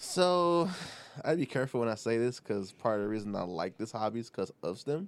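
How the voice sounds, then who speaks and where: Talking at a fairly quick pace with a relaxed tone, a man with an American accent uses a medium pitch and very wide pitch swings. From Detroit East Side, US. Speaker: mechanical engineer, guest. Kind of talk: casual interview chat. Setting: studio. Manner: relaxed, laughs.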